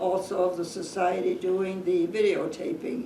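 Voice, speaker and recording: Noticeable background noise under a moderately paced, medium-pitched female voice. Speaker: interviewer. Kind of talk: interview questions.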